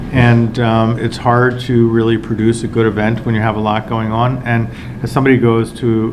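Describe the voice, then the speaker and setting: The recording carries noticeable background noise and audible room echo. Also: man. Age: 60s. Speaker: film festival director. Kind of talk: casual talk to press. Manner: hesitant, many fillers.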